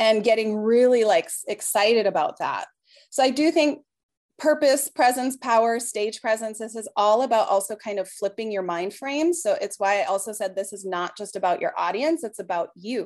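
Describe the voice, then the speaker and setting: A woman with a plain, everyday voice, fairly high-pitched, with lively intonation and big swings in loudness at a moderate pace, against a quiet background. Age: 40s. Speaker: belly dance teacher. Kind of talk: casual chat.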